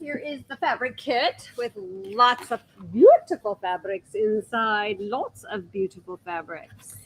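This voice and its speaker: The sound is dry and close with no echo as a woman speaks very slowly at a fairly high pitch, with very wide pitch swings and big swings in loudness. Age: 60s. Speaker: sewing shop owner, teacher. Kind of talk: casual livestream chat.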